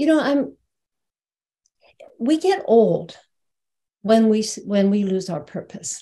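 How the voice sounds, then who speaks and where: A woman speaks very slowly in a dark, mellow, somewhat breathy tone at a fairly high pitch, with long, frequent pauses. Her pitch swings very widely. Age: 70s. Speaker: spiritual teacher. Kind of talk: webinar conversation.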